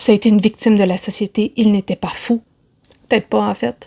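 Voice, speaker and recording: A woman's medium-pitched, dark and mellow voice in a Quebec accent, fairly quick, with fairly even intonation, in a dry, close sound with no echo. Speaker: book vlogger. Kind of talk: casual vlog talk. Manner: fast, chatty.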